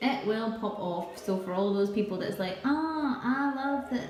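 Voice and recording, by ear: A woman's fairly high, slightly mellow voice with lively intonation at a fairly slow pace, plus audible room echo.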